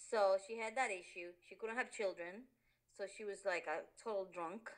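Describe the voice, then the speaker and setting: A woman with a Spanish accent talks at a moderate pace and medium pitch, with ordinary pitch variation. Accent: Spanish accent, which she denies. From Honduras. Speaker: interviewee, immigrant. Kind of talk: interview. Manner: halting, many fillers.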